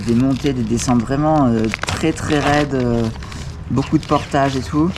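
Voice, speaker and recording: A man talks at a fairly slow pace. The room echo is audible, and background noise is noticeable. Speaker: bikepacking vlogger. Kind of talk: video diary. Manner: quiet, speaking softly.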